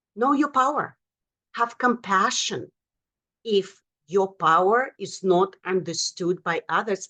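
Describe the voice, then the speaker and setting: Speaking at a very slow pace with long, frequent pauses, a woman has a medium-pitched voice with a bright, sharp tone. Her intonation is lively, and she speaks with a non-native accent. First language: not English. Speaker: motivational speaker and author. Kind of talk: motivational talk. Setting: virtual event from home office.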